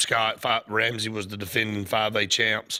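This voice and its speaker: With an Alabama accent, a man talks at a fairly slow pace and a medium pitch. His tone is bright and sharp, and the recording is very clean with a silent background. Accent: US South (Alabama). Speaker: sports radio host. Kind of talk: sports talk radio.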